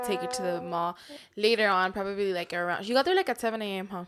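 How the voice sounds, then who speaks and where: Her tone is animated and her pace very fast. This woman speaks at a medium pitch with ordinary pitch variation. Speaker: podcast co-host. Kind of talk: casual chat. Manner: loud.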